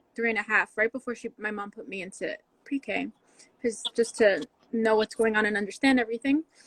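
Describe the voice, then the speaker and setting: A woman with a fairly high pitch speaks at a fairly quick pace with fairly even intonation and big swings in loudness. The sound is dry and close, without echo. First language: Spanish. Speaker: podcast guest. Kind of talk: casual chat.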